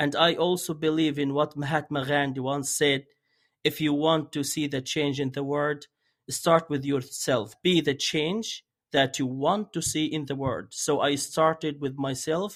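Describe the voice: The pace is fairly slow. Intonation stays fairly even. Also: man, fairly high pitch for a man.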